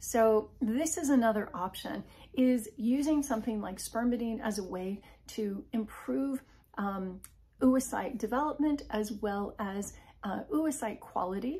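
This woman's voice is fairly high in pitch, somewhat breathy, and dark and mellow in tone. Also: ordinary pitch variation, fairly slow pace. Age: 50s. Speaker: health and wellness video creator; wellness video creator. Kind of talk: informal educational talk to camera. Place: home room. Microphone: phone near.

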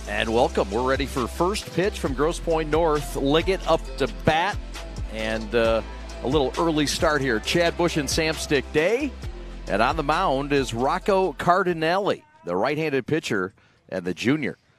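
A man at a fairly slow pace, dry sound with no echo, clear music in the background. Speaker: play-by-play announcer. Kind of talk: sports commentary. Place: stadium. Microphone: headset.

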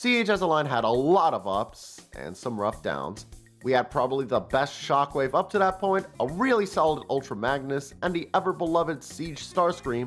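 Over music in the background, the speaker keeps a moderate pace with hardly any pauses. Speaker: toy reviewer. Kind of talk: casual comedic review narration.

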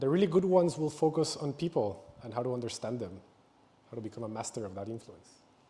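A somewhat breathy man at a fairly quick pace. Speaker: presenter. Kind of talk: public talk. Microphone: lapel.

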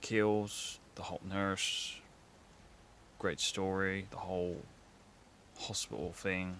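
A man's low voice with a fairly bright tone, fairly even intonation, and long, frequent pauses.

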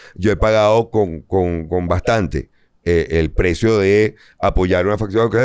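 In an ordinary speaking voice, a man talks at a fairly slow pace with a fairly low pitch and fairly even intonation over a quiet background. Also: very even loudness. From Venezuela. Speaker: comedian. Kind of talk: casual chat. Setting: studio. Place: studio.

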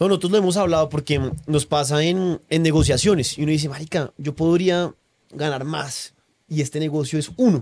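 Against a quiet background, a man talks at a moderate pace in a fairly high pitch with ordinary pitch variation. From Colombia. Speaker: podcast host. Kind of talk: casual chat. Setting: on location at guest's farm. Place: home room. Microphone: studio mic.

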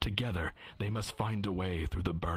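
The speaker reads aloud. It is done in a natural voice.

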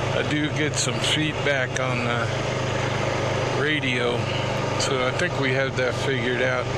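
Dry sound with no echo, under loud background noise. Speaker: quad rider vlogger. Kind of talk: casual vlog chat. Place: open country. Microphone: helmet.

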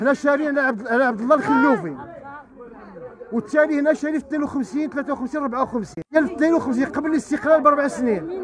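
Against crowd noise in the background, a man with an eastern Moroccan accent talks at a very fast pace and an extremely high pitch, animated, with ordinary pitch variation and a dry sound with no echo. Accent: Moroccan Arabic, eastern Oujda dialect. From Morocco. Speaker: resident interviewed in street report; interviewee. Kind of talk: street interview complaint. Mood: angry, pleading. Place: street. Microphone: handheld.

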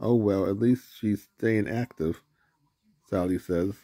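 At a very slow pace, a man talks in a fairly low pitch with fairly even intonation against a quiet background. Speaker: reader filming a picture book. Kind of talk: reading a story aloud. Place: home room. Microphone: phone near.

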